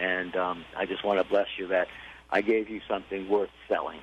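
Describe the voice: At a moderate pace, a man speaks in a low pitch with fairly even intonation.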